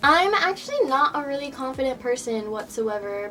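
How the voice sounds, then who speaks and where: Noticeable background noise sits under the speech. The pace is moderate. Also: woman. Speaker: vlogger. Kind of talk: casual vlog. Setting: bedroom. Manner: casual, filler-heavy.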